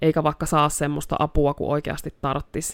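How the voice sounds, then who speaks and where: The voice is monotone and flat, with vocal fry. The sound is dry and close with no echo, in a very clean recording with a silent background. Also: woman. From North Karelia, Finland (Joensuu). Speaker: therapist. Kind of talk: casual chat.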